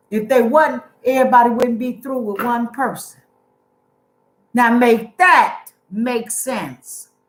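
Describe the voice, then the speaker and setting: A woman talks loudly. Her tone is animated. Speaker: youtuber. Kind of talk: casual chat.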